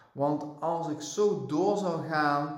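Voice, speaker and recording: Talking very slowly, a man uses a fairly high pitch with ordinary pitch variation. Audible room echo and noticeable background noise fill the recording. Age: 40s. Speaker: lifestyle and vitality coach. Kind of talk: solo podcast monologue. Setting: at home on the couch.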